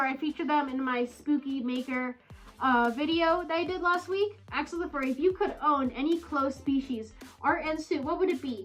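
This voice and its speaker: Music plays in the background as the speaker moves at a fairly quick pace with ordinary pitch variation. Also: woman. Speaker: furry YouTuber. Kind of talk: casual Q&A vlog. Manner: hesitant, filler words.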